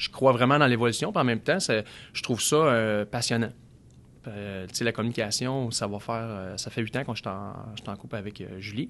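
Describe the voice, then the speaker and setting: Over a quiet background, a man with a medium pitch speaks at a moderate pace in a normal speaking voice. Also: ordinary pitch variation. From Quebec, Outaouais. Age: 30s. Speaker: car dealership sales director. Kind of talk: casual interview chat.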